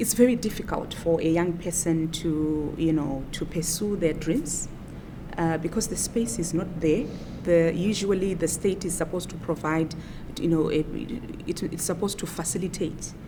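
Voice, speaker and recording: A woman's pitch varies in an ordinary way while audible room echo and noticeable background noise fill the recording. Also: fairly low pitch for a woman, moderate pace. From Zimbabwe. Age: 30s. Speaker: opposition politician. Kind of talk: interview.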